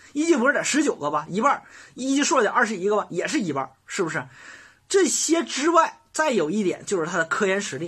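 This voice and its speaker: A Northeastern Chinese accent at a fairly quick pace. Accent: Northeastern Mandarin. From Northeast China. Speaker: college admissions advisor. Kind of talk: lecture. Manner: animated; fast.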